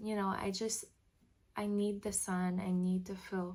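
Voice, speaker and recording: A woman speaks fairly slowly at a medium pitch. Her voice is somewhat breathy and her intonation monotone and flat. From French Canada. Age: 20s. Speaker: vlogger. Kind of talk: casual vlog talk to camera.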